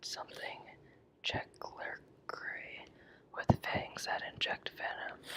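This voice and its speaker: Someone whispers at a fairly slow pace. Background noise is noticeable. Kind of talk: whispered reading of an encyclopedia article; ASMR reading. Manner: whispered, ASMR.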